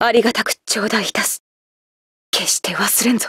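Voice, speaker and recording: A woman's put-on character voice, raspy and fairly high-pitched, at a moderate pace, with a dry, close sound and no echo. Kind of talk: game character voice lines. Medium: game. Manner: formal, archaic, commanding.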